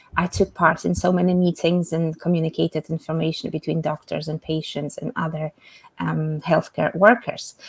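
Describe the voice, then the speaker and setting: A woman with a Polish accent speaks at a moderate pace and a fairly low pitch, her voice somewhat breathy. Her intonation is fairly even, and the sound is dry and close with no echo. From Poland. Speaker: English communication coach. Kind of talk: self-introduction in live webinar. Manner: halting, many fillers.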